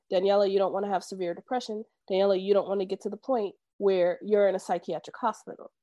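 A woman with an American accent speaks at a very fast pace in a medium pitch. Her intonation is monotone and flat. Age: 30s. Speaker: therapist. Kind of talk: interview podcast.

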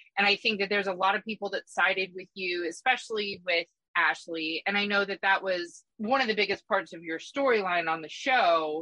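A woman with a plain, everyday voice talks fairly quickly at medium pitch, with ordinary pitch variation and hardly any pauses, in a dry, close sound with no echo. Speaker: podcast host. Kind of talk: casual chat.

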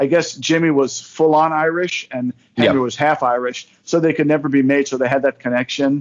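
With an American accent, a man talks at a fairly quick pace and fairly high pitch, with hardly any pauses. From northern New Jersey. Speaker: podcast guest. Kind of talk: casual chat. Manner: animated.

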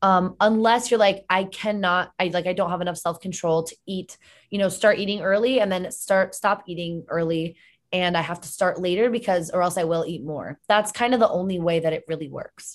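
A woman with an American accent and a plain, everyday voice, medium in pitch, at a fairly quick pace with fairly even intonation and big swings in loudness, against a quiet background. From Connecticut. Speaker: health and fitness coach. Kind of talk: casual interview chat. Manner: casual, filler-heavy.

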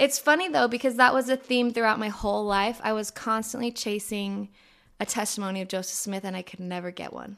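This normal speaking voice, with an American accent, moves at a fairly quick pace with ordinary pitch variation. The recording is very clean, with a silent background. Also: woman, fairly high pitch for a woman. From US West Coast, San Diego (Escondido). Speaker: musician. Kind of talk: casual chat. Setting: her home.

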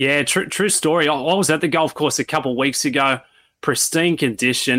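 A man with an Australian accent, a bright, sharp tone, ordinary pitch variation and a fairly quick pace, in a dry, close sound with no echo. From Sydney, Australia. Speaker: golf analyst, former caddie. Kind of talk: interview, sports analysis.

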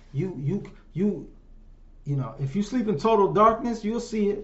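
A man talks in an animated tone with lively intonation. The room echo is audible. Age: 50s. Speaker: solo podcaster and livestreamer. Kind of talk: casual monologue. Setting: home livestream on phones. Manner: animated, conversational. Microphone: room echo, no headphones.

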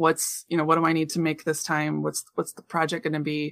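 A woman speaks with a Midwestern American accent. Her pitch is fairly low. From central Illinois. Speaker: craft artist and teacher. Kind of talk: interview.

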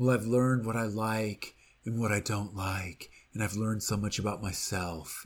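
A man uses a put-on character voice. His intonation stays fairly even. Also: fairly low pitch for a man, moderate pace, very clean recording, silent background. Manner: earnest, cliched, put on.

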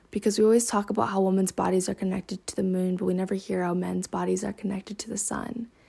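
A woman talks very fast at a medium pitch. Her voice is somewhat breathy, with a dark, mellow tone. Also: fairly even intonation. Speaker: solo podcaster. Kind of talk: personal reflective monologue. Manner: monotone.

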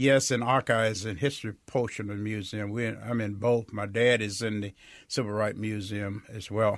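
A man's fairly low, monotone voice with a Mississippi Delta accent at a moderate pace, on a very clean recording with a silent background. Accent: Mississippi Delta Southern US. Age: 80s+. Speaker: state senator. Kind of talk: interview.

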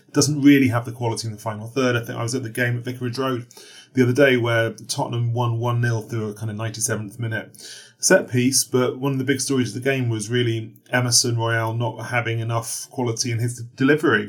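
A man talks at a very fast pace in a medium pitch, somewhat breathy and with monotone, flat intonation. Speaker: football journalist. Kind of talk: interview.

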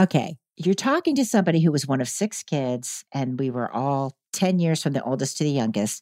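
A woman talks with very wide swings in pitch. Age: 60s. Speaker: dating podcast host, guest expert. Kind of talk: casual chat.

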